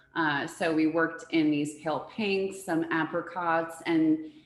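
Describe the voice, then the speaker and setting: With audible room echo, a woman speaks at a fairly slow pace in a fairly low voice, her tone animated and enthusiastic. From born in US to Uruguayan parents, Spanish-speaking home. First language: Spanish. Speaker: floral designer. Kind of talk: presentation interview. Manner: animated, enthusiastic.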